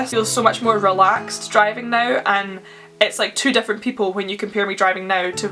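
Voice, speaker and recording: In a Scottish accent, a woman speaks at a fairly quick pace with a fairly high pitch. Music plays in the background. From Scotland. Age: young. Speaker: YouTuber. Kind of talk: casual talk to camera.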